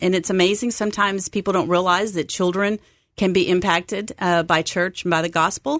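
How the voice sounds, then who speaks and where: A woman's plain, everyday voice at medium pitch with an American accent, moderate pace and ordinary pitch variation, in a dry, close sound with no echo. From Texas. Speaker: seminary enrollment advisor. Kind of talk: interview.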